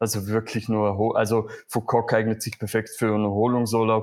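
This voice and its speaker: A man of medium pitch speaks at a moderate pace. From Vorarlberg, Austria. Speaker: community manager, travel guest. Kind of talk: casual interview.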